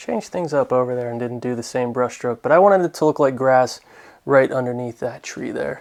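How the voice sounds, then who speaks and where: Here is a plain, everyday voice moving at a fairly quick pace. Its pitch varies in an ordinary way. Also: man, medium pitch for a man. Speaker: painting instructor. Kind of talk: tutorial.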